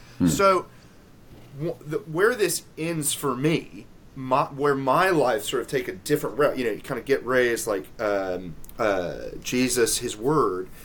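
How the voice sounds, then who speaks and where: Medium-pitched man with a slight Southern US accent, fairly slow pace and very wide pitch swings. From US South, Memphis, Tennessee. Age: 30s. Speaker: theology lecturer and author. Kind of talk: interview.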